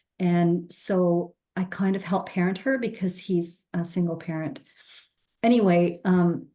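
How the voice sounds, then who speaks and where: A woman with a normal speaking voice talks at a fairly slow pace and fairly low pitch, with fairly even intonation. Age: 60s. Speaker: recovery story guest. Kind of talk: testimony.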